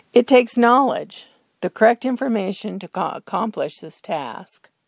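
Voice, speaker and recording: Speaking at a fairly slow pace, a woman with a fairly high pitch and vocal fry is heard in a dry, close recording with no echo. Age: 70s. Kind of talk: health commentary to camera.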